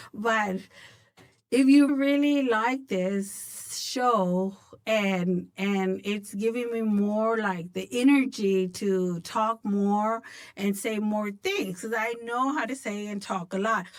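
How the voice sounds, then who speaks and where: At a very slow pace, a woman talks in a fairly high pitch with ordinary pitch variation. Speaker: podcast host. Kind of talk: personal monologue podcast. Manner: halting at times.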